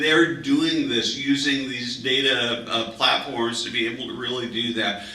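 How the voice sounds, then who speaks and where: Over noticeable background noise and audible room echo, a man with a fairly high pitch speaks at a fairly slow pace with lively intonation. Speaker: panel moderator. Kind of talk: panel discussion. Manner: loud.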